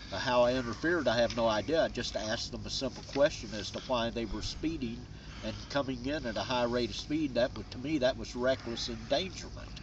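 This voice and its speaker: Over noticeable background noise, the speaker keeps up a fairly quick pace. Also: man. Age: 60s. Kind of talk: interview testimony. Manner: halting, many fillers.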